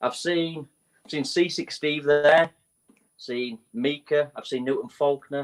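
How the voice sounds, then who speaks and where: A man with a Leeds accent, fairly high pitch, ordinary pitch variation and a very slow pace. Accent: northern English, Leeds. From Leeds, northern England (Morley). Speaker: musician. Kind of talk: casual interview.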